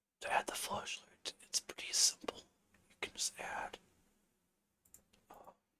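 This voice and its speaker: A woman whispers in a relaxed tone, with long, frequent pauses. Her loudness swings widely. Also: fairly slow pace. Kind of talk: ASMR tutorial, relaxed instructional talk while working in a game engine. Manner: soft, relaxed, slow.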